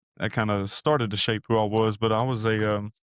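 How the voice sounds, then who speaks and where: Recorded dry and close with no echo, a man talks at a moderate pace in a medium pitch. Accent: East Texas. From Northeast Texas, Sulphur Springs. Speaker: university program director. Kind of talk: testimony. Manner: halting, many fillers.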